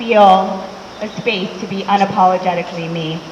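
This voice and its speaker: Over noticeable background noise and audible room echo, a woman talks in an American accent. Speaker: educator. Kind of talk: talk to a live audience.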